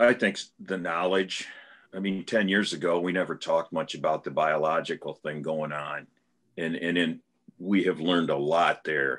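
A very deep, low male voice at a moderate pace, with fairly even intonation, over a quiet background. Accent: American. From US Midwest. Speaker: farmer; panelist. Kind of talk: panel discussion. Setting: video call. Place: home room. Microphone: video call.

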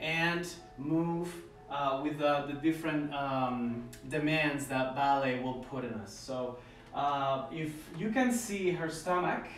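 A man talks very slowly amid audible room echo and light background noise. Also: ordinary pitch variation. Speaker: ballet instructor. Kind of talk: tutorial. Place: home room. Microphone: camera far.

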